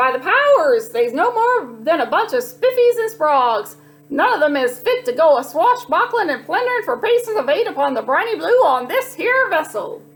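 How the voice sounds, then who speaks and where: A put-on character voice runs with very wide pitch swings and hardly any pauses. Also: woman, extremely high pitch for a woman, moderate pace. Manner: gruff, swashbuckling.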